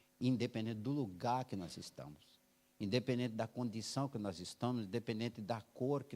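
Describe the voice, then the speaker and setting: Here a man uses an ordinary speaking voice. He keeps a moderate pace, and his pitch shifts in an ordinary way. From Brazil, Alagoas (rural Northeast). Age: 60s. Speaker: missionary church planter, guest preacher. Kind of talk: sermon with personal testimony. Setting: church service.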